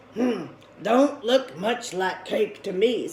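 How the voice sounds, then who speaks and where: Using a put-on character voice, a woman talks at a very slow pace. Her pitch is fairly high. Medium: read story. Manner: drawling, dubious.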